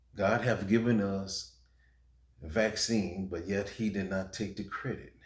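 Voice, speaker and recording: A man talks at a very slow pace in a very deep, low voice. There is a somewhat breathy quality to it. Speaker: preacher, religious video maker. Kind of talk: sermon, urgent message to camera.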